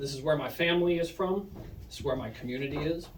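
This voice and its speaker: His voice is fairly high for a man. He talks at a middling speed. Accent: Oklahoma. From Oklahoma, Muskogee. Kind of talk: prepared speech to an audience. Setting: punk house basement with audience. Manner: read from phone.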